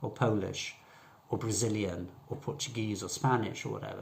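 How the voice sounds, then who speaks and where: A man's somewhat breathy voice at a moderate pace. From northern England, Southport near Liverpool. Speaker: English teacher. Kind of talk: tutorial.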